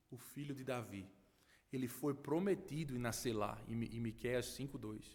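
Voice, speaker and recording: Recorded very cleanly against a silent background, a man with a northeastern Brazilian accent talks at a moderate pace. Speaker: pastor. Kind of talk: sermon. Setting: church.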